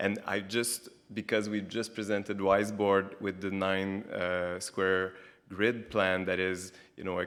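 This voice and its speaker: Against a silent background in a very clean recording, a man speaks at a moderate pace in a Quebec French accent. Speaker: architect. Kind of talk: lecture.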